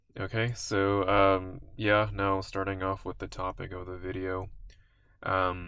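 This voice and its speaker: A man's mumbling at a very deep, low pitch and very slow pace, bright and sharp in tone, with monotone, flat intonation. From South Asia. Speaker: vlogger. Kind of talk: monologue vlog. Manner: stutters, mumbles.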